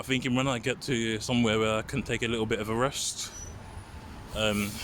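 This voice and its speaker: Noticeable background noise surrounds a man with a London accent. He talks fairly quickly in a monotone, flat way. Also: medium pitch for a man. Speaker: walking vlogger. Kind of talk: walking vlog narration. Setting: outdoors. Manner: fast; stutter, sighs.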